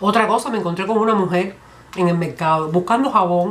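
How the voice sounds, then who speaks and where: A woman talks fairly quickly, her medium pitch showing ordinary variation. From Cuba. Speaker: comedian. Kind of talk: comedy monologue. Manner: humorous, lively.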